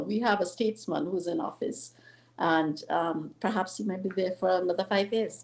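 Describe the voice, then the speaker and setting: A woman talks at a moderate pace in a somewhat breathy voice with ordinary pitch variation. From Trinidad, Point Fortin. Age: 60s. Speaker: government minister. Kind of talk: talk show interview. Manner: halting, many fillers.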